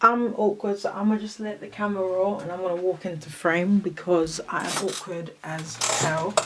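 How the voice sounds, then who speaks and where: Over noticeable background noise, a woman with a British accent and medium pitch speaks in a relaxed, calm tone, her loudness swinging widely. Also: fairly even intonation, moderate pace. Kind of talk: casual talk to camera.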